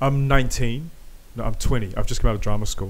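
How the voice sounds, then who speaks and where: The speech moves at a very fast pace. The room echo is audible. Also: man. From New Zealand, South Auckland. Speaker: podcast host. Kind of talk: casual chat. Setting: home garage. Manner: animated.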